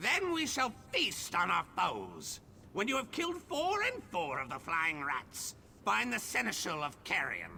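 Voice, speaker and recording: A put-on character voice at a moderate pace, with clear background noise. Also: man. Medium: video game. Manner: imperious, squawking.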